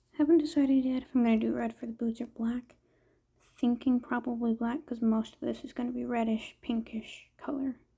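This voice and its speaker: Soft-spoken, the voice moves along at a fairly quick pace. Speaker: art content creator. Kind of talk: casual drawing commentary.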